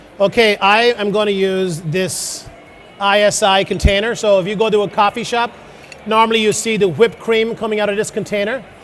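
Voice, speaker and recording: A high-pitched man talks fairly quickly, his intonation fairly even, while noticeable background noise runs underneath. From Ireland. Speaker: chef. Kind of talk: cooking demonstration. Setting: stage with audience.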